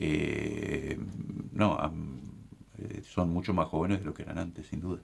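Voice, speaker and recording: A man speaks fairly slowly with long, frequent pauses, his very deep, low voice carrying vocal fry and ordinary pitch variation. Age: 60s. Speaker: bishop. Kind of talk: casual chat.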